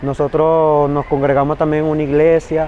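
A man's fairly high voice at a fairly slow pace, with noticeable background noise. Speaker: migrant street singer. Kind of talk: field interview testimony.

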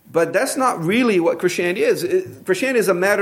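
A man with a high pitch speaks in a Brazilian accent, his intonation lively. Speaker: pastor. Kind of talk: sermon. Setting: church.

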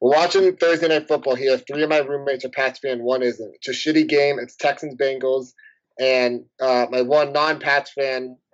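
Speaking at a moderate pace, a man keeps his intonation flat and monotone. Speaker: podcast host. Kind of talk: casual chat.

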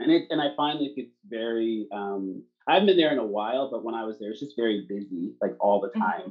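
A man speaks at a medium pitch with ordinary pitch variation. He has a normal speaking voice. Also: fairly quick pace. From Canada. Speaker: podcast host. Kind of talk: casual interview chat.

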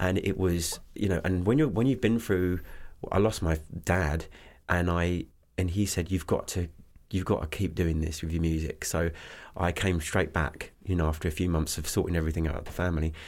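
On a very clean recording with a silent background, a man with an English accent talks at a fairly quick pace, his very deep, low pitch held in fairly even intonation. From southeast England (Kent). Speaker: singer-songwriter. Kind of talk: casual interview.

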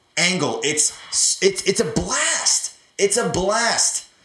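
The man talks in an animated tone, his intonation lively, with noticeable background noise around him. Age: 30s. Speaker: podcast host. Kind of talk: casual chat.

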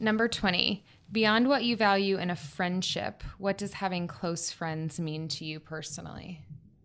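With an American accent, a woman speaks at a moderate pace in a normal speaking voice with ordinary pitch variation. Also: medium pitch for a woman. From Florida Panhandle, US South. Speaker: podcast guest, aspiring writer. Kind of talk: casual chat.

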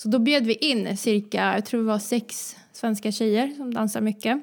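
A woman speaks at a fairly high pitch and a moderate pace. Her intonation stays fairly even. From Sweden, Vänersborg (born in Croatia). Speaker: dancer and entrepreneur. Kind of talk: casual interview.

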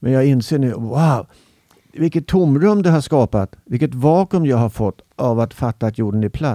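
A man's dark, mellow voice moves at a moderate pace with lively intonation, the sound dry and close with no echo. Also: medium pitch for a man, very even loudness. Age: 70s. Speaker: podcast guest. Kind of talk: casual chat. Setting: studio.

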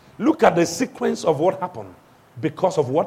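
A man talks at a high pitch in an animated tone. Noticeable background noise runs underneath. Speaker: pastor. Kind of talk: sermon. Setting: church. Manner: animated, call-and-response preaching, urging the congregation to shout back; commanding, authoritative.

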